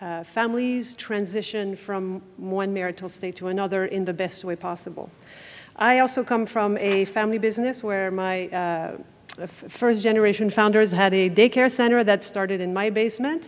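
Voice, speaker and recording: In a Quebec accent, a woman speaks at a moderate pace and medium pitch with fairly even intonation. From Quebec City. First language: French. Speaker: family law lawyer. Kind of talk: conference talk. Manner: halting, many filler words.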